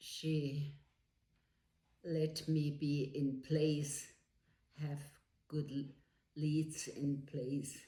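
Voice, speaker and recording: With long, frequent pauses and a very slow pace, the speaker uses monotone, flat intonation and a dark, mellow, somewhat breathy tone, with audible room echo. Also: woman, very deep, low pitch for a woman. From Switzerland. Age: 90s. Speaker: elderly woman telling her life story. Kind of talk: life story interview. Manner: halting.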